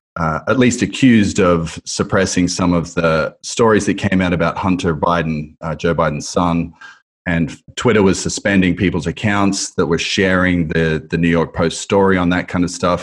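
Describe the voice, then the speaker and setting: In an Australian accent, a man with a very deep, low pitch speaks at a moderate pace and with fairly even intonation. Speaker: podcast host. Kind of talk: scripted intro narration and interview; casual interview conversation. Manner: halting with fillers in conversation.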